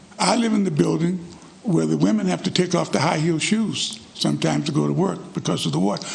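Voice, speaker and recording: Fairly quick speech from a man with an American accent, noticeable background noise and audible room echo around it. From US South. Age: 80s+. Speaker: resident speaking at public comment. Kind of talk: public comment at city council meeting.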